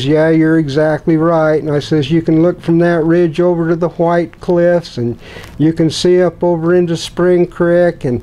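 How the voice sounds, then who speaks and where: The man's voice is high in pitch. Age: old. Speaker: prospector. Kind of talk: interview answer. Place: home room. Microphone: lapel.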